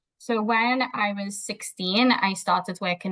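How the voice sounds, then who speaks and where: Somewhat breathy and medium in pitch, a woman with a Liverpool accent speaks with ordinary pitch variation. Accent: Liverpool (Scouse) English. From Liverpool, England. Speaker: behaviour analyst. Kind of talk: interview conversation. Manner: hesitant, with fillers.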